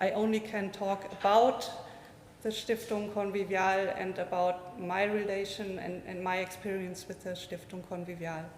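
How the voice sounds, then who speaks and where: Audible room echo surrounds a woman with a German accent who speaks at a medium pitch and a moderate pace, in a monotone, flat intonation. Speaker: physicist, foundation associate. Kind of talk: conference talk, unprepared remarks. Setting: conference with live audience, streamed. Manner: halting, many fillers.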